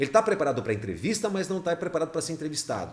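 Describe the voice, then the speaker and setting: This man talks at a very fast pace with lively intonation. His voice is somewhat breathy. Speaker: radio announcer. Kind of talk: casual chat.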